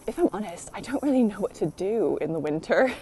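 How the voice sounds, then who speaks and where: A woman with an American accent talks at a fairly quick pace and medium pitch, her voice making very wide pitch swings over noticeable background noise. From United States. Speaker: allotment vlogger. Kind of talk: casual vlog tour. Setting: outdoors in the rain. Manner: chatty, lots of fillers.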